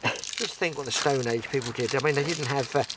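Over faint background noise, a man with a medium pitch and a fairly bright tone talks at a fairly quick pace with ordinary pitch variation.

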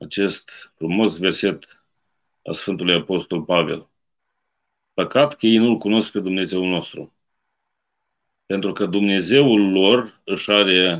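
A man's fairly low pitch with ordinary pitch variation, a very slow pace and long, frequent pauses against a quiet background. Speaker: priest. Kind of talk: sermon. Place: home room. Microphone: webcam.

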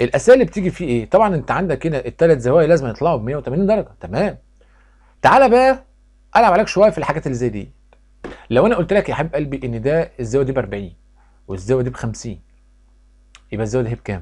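Loud and fairly high-pitched, a man with an Egyptian accent talks at a very fast pace with very wide pitch swings and long, frequent pauses. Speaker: math teacher. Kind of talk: tutorial.

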